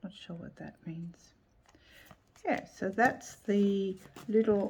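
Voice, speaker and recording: Very slowly, a woman speaks with an Australian accent at a medium pitch with ordinary variation. Her voice is somewhat breathy, and her loudness swings a lot. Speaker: tarot youtuber. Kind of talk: casual video review. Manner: unhurried, thinking aloud.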